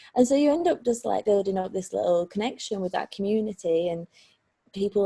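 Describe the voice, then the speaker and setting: In a Lancashire accent, a woman with a dark, mellow, somewhat breathy voice at medium pitch talks at a fairly quick pace, the sound dry and close with no echo. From Lancashire, England. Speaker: street artist. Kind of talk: interview answer.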